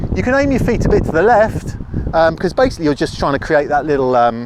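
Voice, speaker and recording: A fairly high-pitched man's voice over noticeable background noise. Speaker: golf teaching professional. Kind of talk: tutorial. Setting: outdoors on a golf course. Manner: louder than normal; fast.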